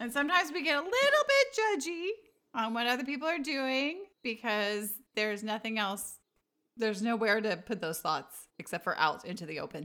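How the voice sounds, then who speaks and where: A woman's bright, sharp tone carries lively intonation at a moderate pace. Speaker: podcast host and mother. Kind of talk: casual family chat. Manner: laughs often.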